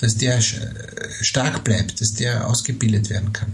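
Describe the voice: A man at medium pitch and a fairly slow pace, with ordinary pitch variation and audible room echo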